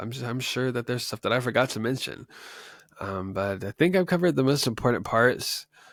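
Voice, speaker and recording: Speaking at a fairly quick pace with ordinary pitch variation, a man comes through on a very clean recording with a silent background. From West Texas. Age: 20s. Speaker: podcast host. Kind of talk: personal testimony monologue. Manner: casual, many fillers and hesitations; speech affected by neurological condition.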